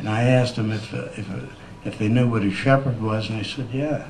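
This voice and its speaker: A man with an American accent at a fairly quick pace, medium pitch and fairly even intonation, with audible room echo and noticeable background noise. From Michigan, US Midwest. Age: old. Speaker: resident speaking at town meeting. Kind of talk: public comment at town meeting. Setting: town council meeting. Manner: fast; halting, many fillers.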